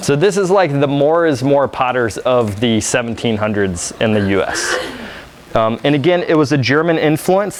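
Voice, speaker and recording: Noticeable background noise accompanies a man with an American accent whose fairly high voice carries lively intonation. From Virginia, US South. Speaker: studio potter, workshop leader. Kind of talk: live demonstration workshop. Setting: workshop room with audience. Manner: casual, conversational with fillers.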